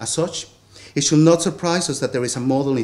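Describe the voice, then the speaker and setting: A man speaks with a Spanish accent. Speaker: theatre lecturer and performer; conference panelist. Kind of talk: academic paper reading. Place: hall. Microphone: podium.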